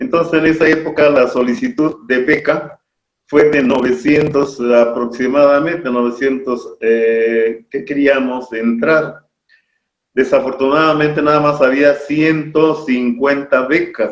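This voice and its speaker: Very slow male speech, fairly high in pitch with fairly even intonation. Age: 70s. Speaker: local historian. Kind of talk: interview.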